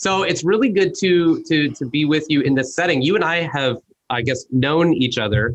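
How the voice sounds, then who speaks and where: A man with a Midwestern accent speaks with lively intonation. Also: fairly high pitch for a man, moderate pace. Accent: American Midwestern. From US Midwest. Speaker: podcast host. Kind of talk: casual interview chat. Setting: video call.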